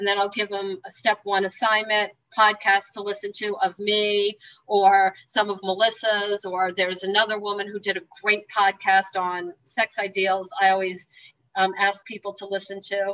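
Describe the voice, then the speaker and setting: Bright and sharp in tone, a woman at medium pitch speaks with a New Jersey accent at a moderate pace in a monotone, flat intonation. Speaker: 12-step meeting speaker. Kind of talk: testimony. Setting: video call.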